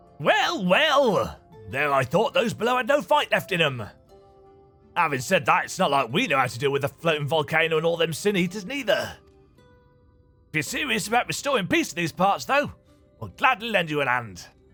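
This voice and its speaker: In a put-on character voice with a theatrical tone, the speaker projects a raised, strained voice at a fairly quick pace, with very wide pitch swings, long, frequent pauses and faint music in the background. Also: man, high pitch for a man. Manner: gruff, theatrical.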